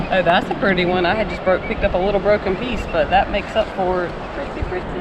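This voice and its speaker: A woman with an American accent talks at a very fast pace, at a medium pitch with fairly even intonation, amid audible room echo and noticeable background noise. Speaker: vlogger. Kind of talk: casual beach-walk vlog chat. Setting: outdoors on a beach.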